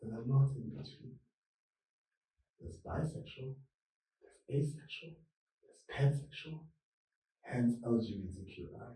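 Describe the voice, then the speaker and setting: A man's medium-pitched voice with vocal fry, ordinary pitch variation and a dark, mellow tone, at a moderate pace, with big swings in loudness and long, frequent pauses. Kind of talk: interview chat.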